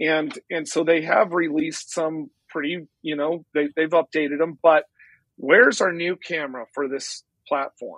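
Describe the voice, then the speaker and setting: The voice is a normal speaking voice with fairly even intonation at a moderate pace. It sounds dry and close with no echo, over a quiet background. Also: man, fairly high pitch for a man. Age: 50s. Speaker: real estate broker and drone photographer. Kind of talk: interview.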